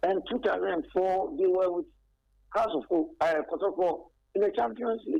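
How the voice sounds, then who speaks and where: With a Ghanaian accent, a man speaks at a moderate pace in a high, dark, mellow voice, his pitch swinging very widely while his loudness stays very even. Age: 60s. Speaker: caller, football fan. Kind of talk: radio call-in.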